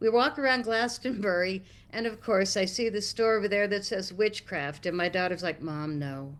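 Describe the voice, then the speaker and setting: With an American accent, a woman uses a normal speaking voice with lively intonation. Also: medium pitch for a woman, moderate pace. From United States. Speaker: guest on talk stream. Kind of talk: storytelling.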